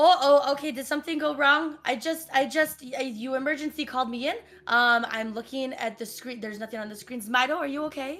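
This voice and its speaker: A raspy put-on character voice at a fairly quick pace with hardly any pauses. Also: woman, high pitch for a woman. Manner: worried, asking if all is okay.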